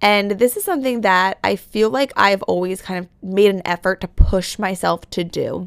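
This woman has an ordinary speaking voice at medium pitch, talking at a moderate pace with hardly any pauses, ordinary pitch variation and big swings in loudness, in a dry, close recording with no echo. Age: 20s. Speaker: podcast host. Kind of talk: solo podcast monologue. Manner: casual, filler-heavy.

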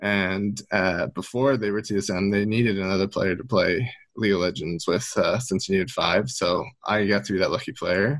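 Using an ordinary speaking voice, a man with fairly low pitch talks at a moderate pace and with ordinary pitch variation. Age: 20s. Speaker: esports consultant. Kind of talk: interview.

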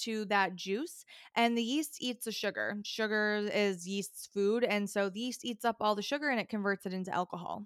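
A woman with an American accent and an unremarkable speaking voice, fairly high in pitch, with ordinary pitch variation at a moderate pace. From upstate New York. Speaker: wine expert. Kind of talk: casual interview.

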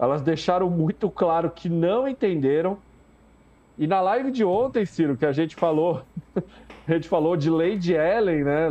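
This man's voice is high in pitch with lively intonation. His pace is fairly slow. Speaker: live show commentator on reality TV. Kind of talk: casual live-stream chat.

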